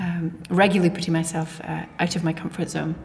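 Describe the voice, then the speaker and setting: There is noticeable background noise as a woman with a fairly low pitch talks at a moderate pace. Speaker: teaching assistant. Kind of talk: casual chat.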